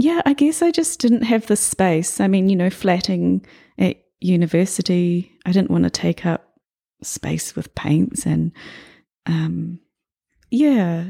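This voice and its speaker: A woman with a New Zealand accent speaks at a very slow pace, leaving long, frequent pauses. The recording is very clean, with a silent background. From New Zealand, New Plymouth. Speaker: abstract painter. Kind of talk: casual interview. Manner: halting.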